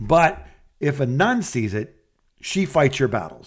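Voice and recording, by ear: Speaking at a slow pace, a man's pitch swings widely. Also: medium pitch for a man.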